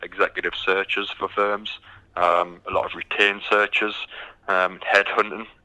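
A man speaks in a dry, close sound with no echo. Noticeable background noise runs underneath. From UK. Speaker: recruitment company executive. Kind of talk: interview. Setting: phone call. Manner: hesitant with frequent um fillers.

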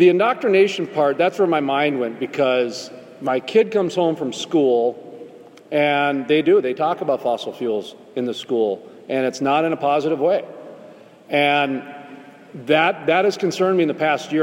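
A man with a fairly high pitch and ordinary pitch variation talks at a moderate pace as noticeable background noise plays behind him. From North Dakota. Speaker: podcast host. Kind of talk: panel discussion.

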